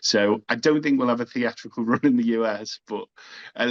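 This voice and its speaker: With a Liverpool accent and fairly even intonation, a man speaks in a dry, close sound with no echo. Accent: Scouse. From Liverpool, England. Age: 40s. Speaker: film director. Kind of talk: interview. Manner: halting.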